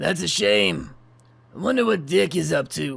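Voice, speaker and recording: In a put-on character voice, a man sounds raspy at a medium pitch. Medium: audio drama. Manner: smug, drawling.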